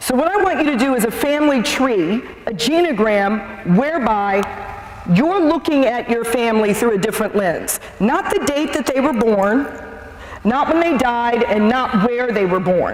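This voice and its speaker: The pace is moderate, and noticeable background noise can be heard. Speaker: seminar speaker on addiction. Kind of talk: public talk. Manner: loud.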